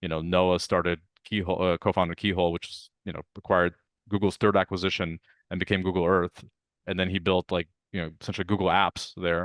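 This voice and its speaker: Speaking very fast in a Russian accent, a man with a very deep, low pitch keeps a monotone, flat intonation, recorded with a dry, close sound with no echo against a quiet background. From Ukraine (Odessa), emigrated to US 1989. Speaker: venture capitalist. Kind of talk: interview.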